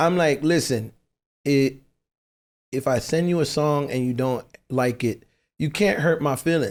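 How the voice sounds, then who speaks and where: With a Caribbean accent, the speaker goes at a fairly slow pace, with long, frequent pauses, very even loudness and ordinary pitch variation. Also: man, fairly high pitch for a man. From US Virgin Islands (St. Thomas). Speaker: songwriter. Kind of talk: casual chat. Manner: animated.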